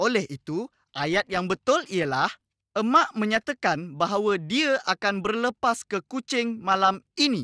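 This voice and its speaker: A man's high-pitched, raised and projected voice, bright and sharp in tone, with lively intonation at a fairly slow pace, recorded very cleanly, dry and close with no echo against a silent background. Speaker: educational video presenter. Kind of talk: lecture. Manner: friendly, addressing young students.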